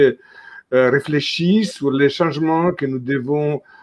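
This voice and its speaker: With an Italian accent, a man of fairly high pitch speaks at a very slow pace. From Italy. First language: Italian (speaking French). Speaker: travel industry association president. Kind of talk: video conference panel introduction. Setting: video call.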